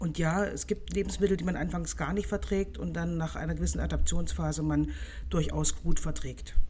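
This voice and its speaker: A woman at a moderate pace with audible room echo. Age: 40s. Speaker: nutrition scientist. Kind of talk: expert interview.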